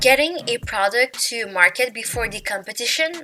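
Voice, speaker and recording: This speaker talks with a non-native accent and ordinary pitch variation. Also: woman. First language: not English. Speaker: YouTuber. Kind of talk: casual chat. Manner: casual, filler-heavy.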